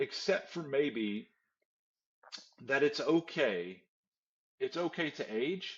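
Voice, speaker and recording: Speaking very slowly with long, frequent pauses, a man uses a fairly high pitch, very wide pitch swings and vocal fry. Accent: American. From West Texas. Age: 50s. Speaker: pastor. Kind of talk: podcast interview. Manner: halting, repeats words.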